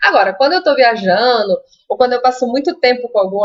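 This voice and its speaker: A woman with a Minas Gerais accent. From Brazil, Minas Gerais. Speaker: Spanish teacher. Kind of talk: live stream Q&A and tips. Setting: live stream. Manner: casual, conversational.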